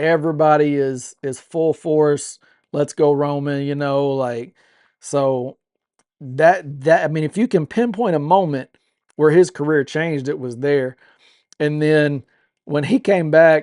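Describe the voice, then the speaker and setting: An unremarkable speaking voice from a man, fairly high-pitched and fairly slow, in a dry, close recording with no echo over a quiet background. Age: 40s. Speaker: wrestling podcast co-host. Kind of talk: casual chat.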